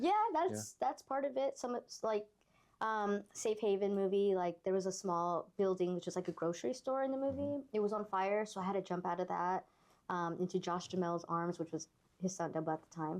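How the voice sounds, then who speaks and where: A woman with an American accent talks at a fairly quick pace, her medium-pitched voice carrying lively intonation. The background is quiet. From Los Angeles. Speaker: stuntwoman and actress. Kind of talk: interview answer. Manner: casual, candid.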